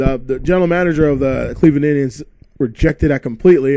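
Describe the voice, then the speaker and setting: A man with a fairly high pitch and ordinary pitch variation, talking at a very fast pace. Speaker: baseball commentator vlogger. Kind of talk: casual solo commentary. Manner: animated, halting with fillers.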